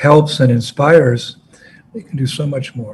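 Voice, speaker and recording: With fairly even intonation, a man speaks in a somewhat breathy, fairly high voice. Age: 70s. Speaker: spiritual teacher. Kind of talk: address to disciples.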